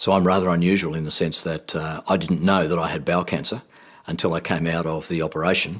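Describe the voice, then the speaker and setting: Speaking at a very fast pace with an Australian accent, the man has a very deep, low pitch and fairly even intonation. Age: 60s. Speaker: cancer survivor. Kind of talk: testimony.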